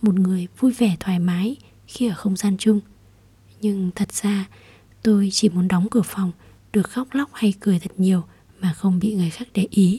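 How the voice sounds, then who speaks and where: A woman with a dark, mellow, somewhat breathy voice speaks with fairly even intonation and long, frequent pauses. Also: medium pitch for a woman, moderate pace. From southern Vietnam. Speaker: podcast host. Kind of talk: personal monologue. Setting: home recording late at night.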